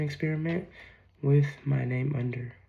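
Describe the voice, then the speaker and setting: Somewhat breathy, a man speaks at a moderate pace in a fairly high pitch. His intonation stays monotone and flat. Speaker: student. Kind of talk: class presentation.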